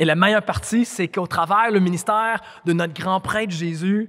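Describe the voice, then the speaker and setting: Against a quiet background, a man speaks at a moderate pace in a high voice with ordinary pitch variation. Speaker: preacher. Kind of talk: sermon. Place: hall. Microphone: handheld.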